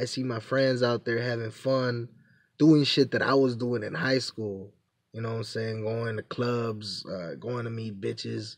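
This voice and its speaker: A man with a plain, everyday voice talks fairly slowly at medium pitch with fairly even intonation. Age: 20s. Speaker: vlogger. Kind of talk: casual monologue. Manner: casual, repetitive filler phrases.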